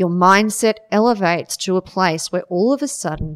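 A woman speaks with a plain, everyday voice at a moderate pace. Her pitch variation is ordinary, and the sound is dry and close with no echo. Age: 40s. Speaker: mental health advocate and fitness athlete. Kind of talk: interview storytelling.

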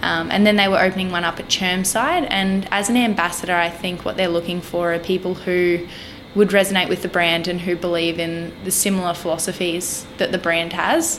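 A woman with an Australian accent, fairly low-pitched, fairly even in intonation and fairly quick in pace, with noticeable background noise. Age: 20s. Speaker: dietetics student and personal trainer. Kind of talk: casual interview chat.

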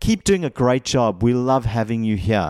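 Recorded very cleanly with a silent background and a dry, close sound with no echo, a man uses an ordinary speaking voice at medium pitch and a moderate pace. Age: 40s. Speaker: mindset coach and hypnotherapist. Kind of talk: solo podcast talk on workplace feedback.

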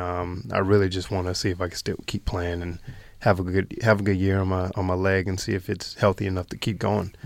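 A man with a North Carolina accent speaks in a very deep, low pitch with monotone, flat intonation on a very clean recording with a silent background. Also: fairly quick pace. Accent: North Carolina American. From US South, North Carolina. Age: 20s. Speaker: professional athlete. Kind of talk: interview. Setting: studio. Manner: hesitant, many fillers.

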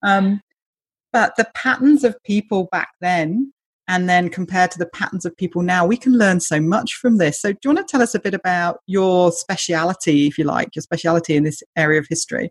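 In a British accent, a woman speaks at a fairly quick pace and medium pitch, somewhat breathy and with lively intonation, in a dry, close sound with no echo. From Britain. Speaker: podcast host. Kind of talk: interview conversation.

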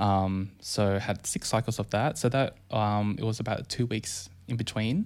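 The man has a normal speaking voice, fairly low in pitch, with fairly even intonation and a fairly slow pace. He leaves hardly any pauses, and the recording is very clean with a silent background. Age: 30s. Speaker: nurse, yoga teacher and cancer survivor. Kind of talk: casual interview about illness.

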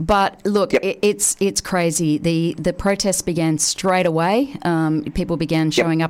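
A woman with an Australian accent, fairly low in pitch, at a moderate pace with ordinary pitch variation. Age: 40s. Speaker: radio host. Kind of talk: casual chat.

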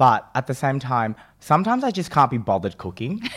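With an Australian accent, a man speaks fairly quickly in a fairly high pitch, his voice swinging very widely in pitch. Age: 20s. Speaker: chef. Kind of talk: casual chat.

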